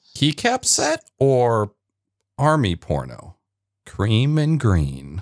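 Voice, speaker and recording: A man's medium-pitched voice at a very slow pace, with very wide pitch swings and long, frequent pauses, in a dry, close sound with no echo and a very clean recording with a silent background. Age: 20s. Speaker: Twitch streamer and IT worker. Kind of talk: casual chat.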